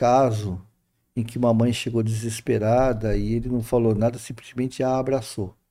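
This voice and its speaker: His tone is dark and mellow, at a medium pitch. The man's intonation is monotone and flat. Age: 60s. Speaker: spiritist speaker. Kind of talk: casual spiritual talk in interview.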